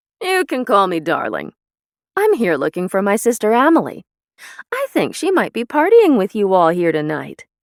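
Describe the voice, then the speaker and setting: A put-on character voice, raised and projected, fairly high in pitch, at a moderate pace, in a very clean recording with a silent background. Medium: read story. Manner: brash, cocky.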